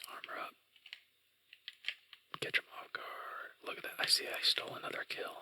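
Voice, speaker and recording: Whispering man with long, frequent pauses and big swings in loudness, over noticeable background noise. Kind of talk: ASMR gaming commentary, whispered ramble. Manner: whispered, soft-spoken.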